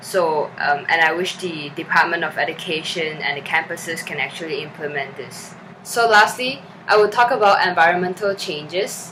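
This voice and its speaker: Speaking in a Chinese accent, a woman uses a medium pitch, ordinary pitch variation and a moderate pace. Noticeable background noise can be heard. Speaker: student documentary director. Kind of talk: documentary reflection. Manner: halting, many fillers.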